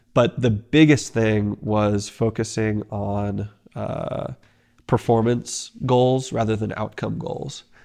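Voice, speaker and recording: In a Texan accent, a man talks at a very slow pace with a medium pitch and fairly even intonation. His tone is dark and mellow, and the background is quiet. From Texas. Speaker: pro mountain biker. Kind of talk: casual chat.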